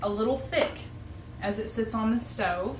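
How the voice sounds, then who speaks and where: Someone with a Southern US accent speaks at a moderate pace. Noticeable background noise and audible room echo fill the recording. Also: woman. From US South. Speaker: home cooking video host. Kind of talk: cooking tutorial. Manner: casual, conversational with filler words.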